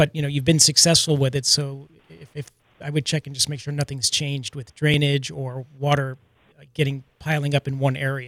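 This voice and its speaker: A man talks fairly quickly at a fairly high pitch in a monotone, flat intonation, with big swings in loudness. The sound is dry and close, with no echo. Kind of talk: casual radio banter. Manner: laid-back, conversational.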